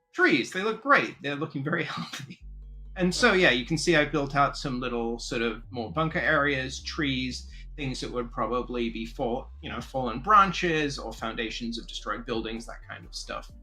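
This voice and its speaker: A man speaks with big swings in loudness. Audible room echo and noticeable background noise are present. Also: moderate pace. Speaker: game designer. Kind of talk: livestream tutorial. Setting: livestream. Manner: animated.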